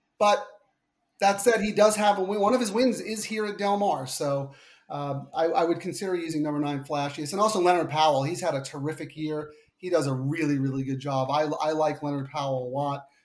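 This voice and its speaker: A man with a Long Island accent, fairly high in pitch, with ordinary pitch variation and a fairly quick pace. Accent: Long Island, New York. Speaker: podcast guest, horse racing handicapper. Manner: casual, conversational, frequent filler words.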